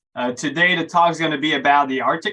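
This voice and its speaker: A man with a French accent and a bright, sharp tone speaks at a moderate pace with ordinary pitch variation. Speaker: research biologist. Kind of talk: lecture. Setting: video call.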